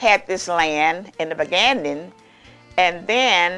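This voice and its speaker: In a Southern US accent, a woman speaks at a very slow pace with a medium pitch and ordinary pitch variation. Music plays in the background. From Mississippi, US South. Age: 80s+. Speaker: master baker. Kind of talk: interview answer.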